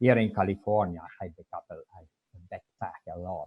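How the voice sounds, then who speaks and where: With a strong Italian accent, a man speaks in a dark, mellow tone at a fairly low pitch and moderate pace, his intonation fairly even. The sound is dry and close, with no echo. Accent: heavy Italian. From Italy. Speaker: public commenter. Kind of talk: public comment.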